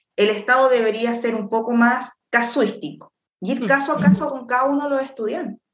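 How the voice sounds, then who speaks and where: The woman's voice sits at a high pitch. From Chile, Quilpué. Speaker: lawyer. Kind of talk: expert interview.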